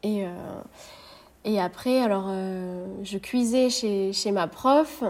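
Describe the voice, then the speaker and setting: Medium pitch from a woman, with ordinary pitch variation. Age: 20s. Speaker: ceramicist. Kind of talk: interview. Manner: hesitant, many fillers.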